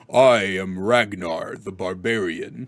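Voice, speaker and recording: Using a put-on character voice, a man speaks fairly slowly at a fairly low pitch. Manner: showy, trying to impress.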